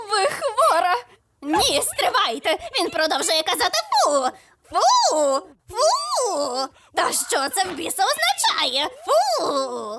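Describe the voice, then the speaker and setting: In a cartoonish character voice, a woman talks at a very slow pace with extremely high pitch and very wide pitch swings. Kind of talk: comedy cartoon dub.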